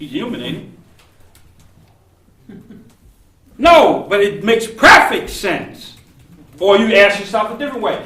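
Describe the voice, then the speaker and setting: In a room with audible echo, a man speaks in a raised, projected voice at a high pitch and fairly slow pace, with ordinary pitch variation, big swings in loudness, and long, frequent pauses. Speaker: seminary professor. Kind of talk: lecture. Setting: classroom.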